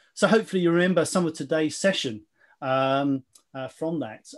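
A man at a fairly quick pace, with ordinary pitch variation, against a quiet background. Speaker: webinar presenter. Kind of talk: webinar presentation. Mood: light, jokey, occasional laughs. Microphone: video call.

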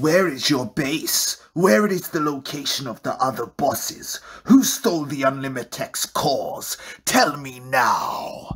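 A man does a cartoonish character voice at a fairly high pitch. He speaks at a fairly slow pace. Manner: cold, demanding.

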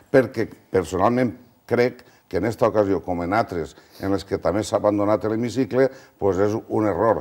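A fairly low-pitched man talks at a moderate speed, his pitch varying in an ordinary way, over a quiet background. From Valencia region, Spain. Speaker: regional politician. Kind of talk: televised political debate. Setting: TV studio. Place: studio. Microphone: lapel.

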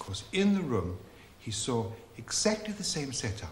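A man's voice with very wide pitch swings, audible room echo and light background noise. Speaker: rabbi storyteller. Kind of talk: storytelling. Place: kitchen.

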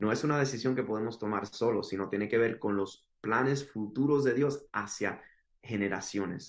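In a quiet background, a man talks at a moderate pace with ordinary pitch variation. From Miami, Florida (Cuban parents). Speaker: podcast guest. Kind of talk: testimony. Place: home room. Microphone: video call.

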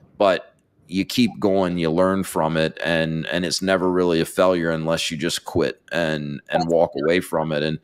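A man with an American accent speaks at a moderate pace in a very deep, low pitch with monotone, flat intonation over a quiet background. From North Carolina. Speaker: podcast host. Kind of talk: interview. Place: studio. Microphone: studio mic.

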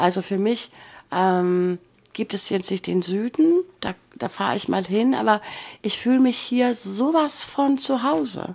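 A woman at medium pitch with very wide pitch swings, fairly slow, on a very clean recording with a silent background. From northern Germany, Bremen. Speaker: former cruise ship worker, emigrant. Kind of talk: casual interview.

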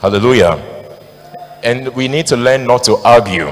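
Male speaker, fairly quick pace. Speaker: preacher. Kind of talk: sermon. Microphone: handheld.

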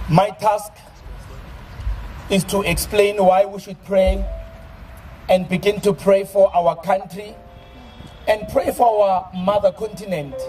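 Music plays in the background as the speaker talks at a fairly slow pace with fairly even intonation and long, frequent pauses. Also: man, high pitch for a man. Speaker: preacher. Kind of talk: sermon. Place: open country. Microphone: handheld.

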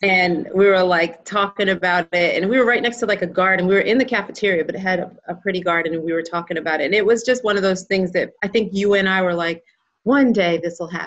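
A woman talking at a very fast pace with hardly any pauses, ordinary pitch variation, and a quiet background. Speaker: founder of infant loss charity. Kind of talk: interview host. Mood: warm, smiling. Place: home room. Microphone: video call.

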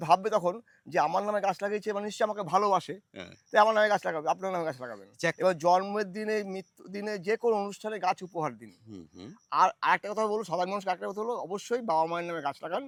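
The sound is dry and close with no echo, with big swings in loudness and ordinary pitch variation. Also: man, high pitch for a man. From West Bengal, North 24 Parganas. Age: 50s. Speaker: long-distance cyclist and tree-planting campaigner. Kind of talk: interview.

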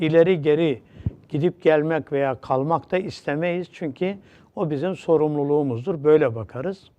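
This is an ordinary speaking voice. Its pitch shows ordinary variation. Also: man, fairly high pitch for a man, fairly slow pace. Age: 60s. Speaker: religious teacher. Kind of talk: religious TV talk.

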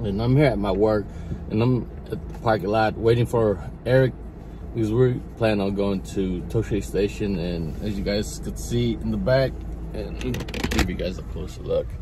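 Long, frequent pauses mark the speech, and the dry sound with no echo carries noticeable background noise. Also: man, moderate pace. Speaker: toy collector vlogger. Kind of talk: casual vlog chat. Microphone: phone near.

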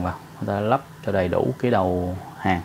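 A man's fairly slow speech over light background noise. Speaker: welding instructor. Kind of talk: tutorial. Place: workshop. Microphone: camera far.

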